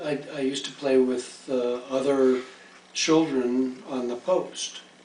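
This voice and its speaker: A man's medium-pitched voice carries fairly even intonation. The recording has audible room echo and noticeable background noise. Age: 60s. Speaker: interviewee, retired lawyer. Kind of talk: interview. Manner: halting.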